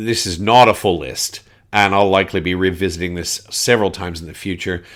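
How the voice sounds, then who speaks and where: With a Canadian accent, a man speaks at a fairly quick pace in a very deep, low pitch and fairly even intonation, on a very clean recording with a silent background. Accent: Canadian twang. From Canada, Winnipeg. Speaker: board game podcaster. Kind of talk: casual podcast monologue. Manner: casual, with frequent fillers.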